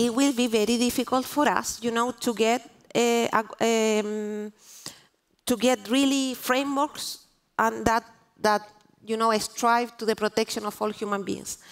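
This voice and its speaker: A Spanish accent and a monotone, flat intonation. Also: woman, fairly high pitch for a woman, fairly slow pace. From Chile. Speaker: diplomat. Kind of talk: panel discussion. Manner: halting, many restarts.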